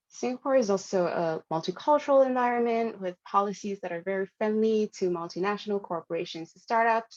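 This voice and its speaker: Against a quiet background, a woman speaks in a Hanoi accent at a fairly quick pace with ordinary pitch variation. The sound is dry and close with no echo. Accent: Vietnamese (Hanoi). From Vietnam, Hanoi (northern). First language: Vietnamese. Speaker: product designer and conference speaker. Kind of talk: conference talk. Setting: live-streamed conference session.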